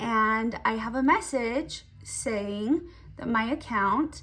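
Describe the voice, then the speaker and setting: There is ordinary pitch variation in this woman's fairly high voice. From Utah. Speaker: mom blogger and beauty vlogger. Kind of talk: casual chat during makeup tutorial. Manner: animated.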